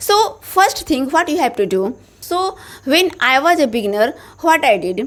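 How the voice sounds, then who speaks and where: In an Indian accent, a woman speaks high-pitched at a fairly slow pace, her pitch swinging very widely. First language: Hindi. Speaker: English teacher, YouTuber. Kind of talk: motivational tutorial.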